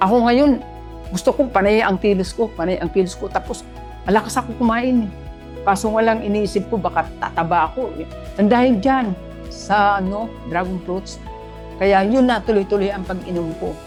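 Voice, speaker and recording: A woman at medium pitch and moderate pace, with ordinary pitch variation and music in the background. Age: 70s. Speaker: Zumba instructor. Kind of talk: product testimonial.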